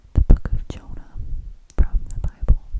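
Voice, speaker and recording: Fairly slow whispering is heard beneath noticeable background noise. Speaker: ASMR creator. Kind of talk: casual intro to camera, whispered. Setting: close-mic studio recording. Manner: whispered, soft, slow.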